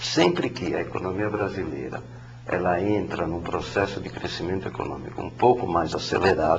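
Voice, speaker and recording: Over noticeable background noise and audible room echo, a man with a very deep, low pitch talks at a moderate pace. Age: 60s. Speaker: economics professor. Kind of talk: interview. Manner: halting, many fillers.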